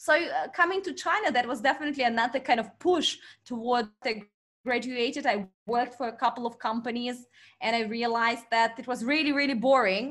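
In a Russian accent, a woman talks at a fairly quick pace and a high pitch with ordinary pitch variation, captured on a very clean recording with a silent background. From Russian Far East. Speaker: marketing expert and company founder. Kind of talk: interview.

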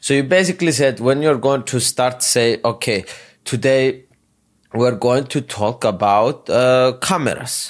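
In a very clean recording with a silent background, a man at medium pitch talks at a fairly slow pace with very even loudness and ordinary pitch variation. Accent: non-native. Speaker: podcast host. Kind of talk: podcast interview.

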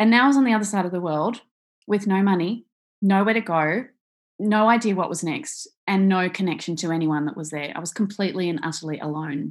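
A woman with an Australian accent against a quiet background. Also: medium pitch for a woman, ordinary pitch variation, fairly quick pace. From Australia, Victoria. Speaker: author and speaker, survivor. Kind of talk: interview, personal storytelling. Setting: video call.

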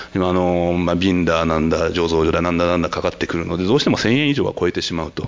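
A man's very deep, low voice at a very fast pace, over noticeable background noise. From Tokyo. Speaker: winemaker. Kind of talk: panel discussion.

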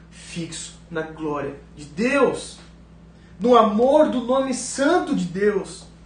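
A man's pitch swings very widely, heard through audible room echo and noticeable background noise. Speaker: pastor. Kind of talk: sermon.

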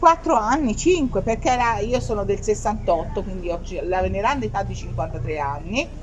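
Over noticeable background noise, a woman speaks at a fairly slow pace with hardly any pauses. Her fairly high voice makes very wide pitch swings. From Tuscany. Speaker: rock singer and keyboardist. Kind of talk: casual chat. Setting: live event venue.

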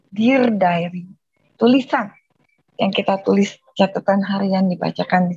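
Somewhat breathy, a woman speaks with ordinary pitch variation and long, frequent pauses. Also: medium pitch for a woman, fairly slow pace. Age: middle-aged. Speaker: writing teacher. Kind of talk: lecture.

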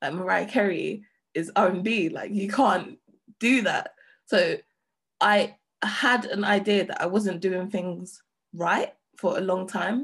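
Somewhat breathy, a woman with a London accent speaks at a medium pitch. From London, Hackney. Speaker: DJ and producer. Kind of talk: interview. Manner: casual, lots of filler words.

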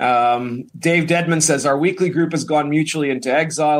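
Talking at a fairly quick pace, a man uses a plain, everyday voice and ordinary pitch variation. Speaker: show host. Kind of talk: casual chat.

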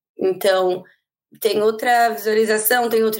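Her pitch is fairly high and her pace fairly slow. This woman speaks with monotone, flat intonation. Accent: São Paulo. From Brazil, São Paulo. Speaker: rugby player. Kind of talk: podcast interview.

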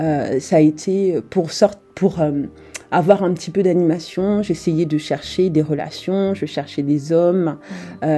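At a very slow pace and a fairly low pitch, a woman speaks over noticeable background noise. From France. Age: young. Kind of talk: testimony. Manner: animated.

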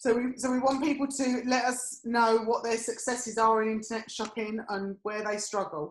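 Fairly even intonation in an English accent, at a moderate pace with hardly any pauses. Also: woman, fairly high pitch for a woman. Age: 50s. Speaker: podcast co-host and image consultant. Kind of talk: casual chat.

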